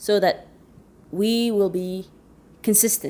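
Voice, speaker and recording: Very clean audio of a female voice against total silence. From Chad. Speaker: interpreter and translator, vlogger. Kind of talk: casual vlog intro. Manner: conversational, some hesitations.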